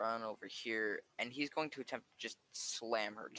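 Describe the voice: Someone reads aloud plainly, with ordinary variation in pitch.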